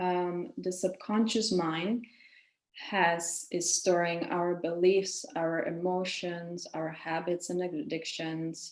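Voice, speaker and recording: A woman's fairly low voice in a Czech accent, at a very slow pace with ordinary pitch variation. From Czech Republic. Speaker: women's coach and yoga teacher. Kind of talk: webinar lecture.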